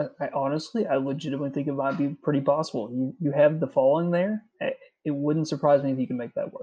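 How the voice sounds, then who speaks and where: A man's fairly high voice at a very fast pace, with fairly even intonation and hardly any pauses. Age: 30s. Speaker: podcast host. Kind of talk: casual interview chat.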